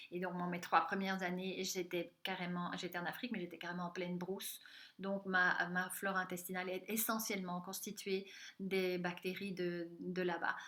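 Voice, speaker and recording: A woman talks at a moderate pace and medium pitch in a bright, sharp tone. Her intonation is flat and monotone, and audible room echo can be heard. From Central Africa (DR Congo, Katanga). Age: 50s. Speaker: health coach and conference speaker. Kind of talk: recorded conference talk.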